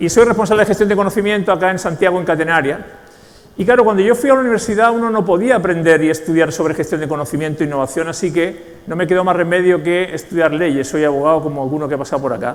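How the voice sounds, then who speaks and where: In a Spanish accent, a man talks at a very fast pace and a high pitch with ordinary pitch variation, with audible room echo and noticeable background noise. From Spain, Basque Country (San Sebastián). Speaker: knowledge management consultant and speaker. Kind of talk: conference talk.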